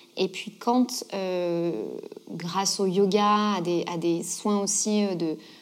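Fairly even intonation from a woman at medium pitch. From southern France, Gard. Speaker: yoga teacher and author. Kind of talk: interview.

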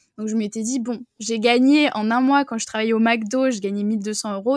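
A woman's fairly high voice at a fairly quick pace, with fairly even intonation, on a very clean recording with a silent background. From France, Bordeaux. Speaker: online business coach. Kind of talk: interview. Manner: hesitant, many fillers. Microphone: new microphone.

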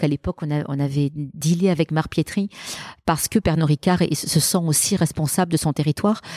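A woman with a dark, mellow tone speaks at a fairly low pitch and moderate pace with fairly even intonation, the sound dry and close with no echo. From Marseille, southern France. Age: 50s. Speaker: business executive. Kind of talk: interview. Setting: event venue in Marseille.

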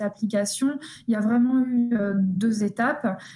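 A woman speaks at a fairly high pitch with a dark, mellow, somewhat breathy tone. Her intonation is fairly even. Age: 20s. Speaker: psychologist and researcher. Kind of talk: interview. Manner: halting, many repetitions.

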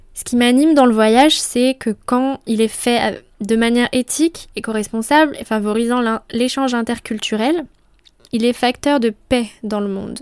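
A woman's high voice at a fairly slow pace, fairly even in intonation, with a dry, close sound and no echo. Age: 20s. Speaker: podcast host. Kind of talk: solo monologue podcast. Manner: casual.

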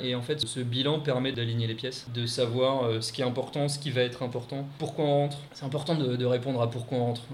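Noticeable background noise sits under a man speaking at a very fast pace. His intonation stays fairly even. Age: 30s. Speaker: expatriate. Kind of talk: interview.

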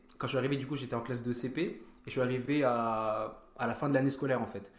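Audible room echo surrounds a man who speaks at a fairly quick pace with fairly even intonation. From France, Vosges/Nancy area, early childhood in Germany. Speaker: track and field athlete. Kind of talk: casual chat.

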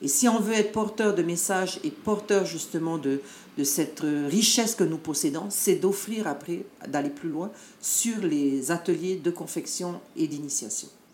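There is noticeable background noise. A woman with a fairly low pitch talks at a moderate pace with lively intonation. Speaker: dance group leader and education adviser. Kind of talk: interview.

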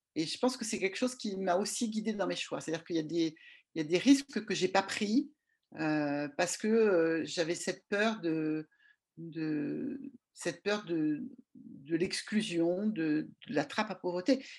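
A woman at a fairly slow pace with lively intonation. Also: medium pitch for a woman. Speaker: regulatory affairs consultant. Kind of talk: interview. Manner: halting.

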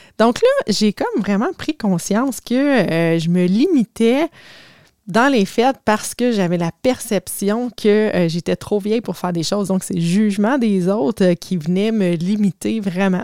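Dry and close with no echo, a woman's voice has a dark, mellow tone and medium pitch, moving at a fairly slow pace with ordinary pitch variation in a Quebec accent. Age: 40s. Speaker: life coach. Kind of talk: casual storytelling monologue.

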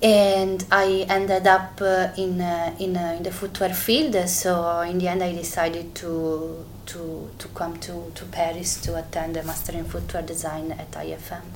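Amid noticeable background noise and audible room echo, a woman with an Italian accent speaks at a very slow pace with a fairly low pitch and monotone, flat intonation. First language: Italian (speaking French). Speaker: fashion designer. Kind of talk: interview testimony. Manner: halting.

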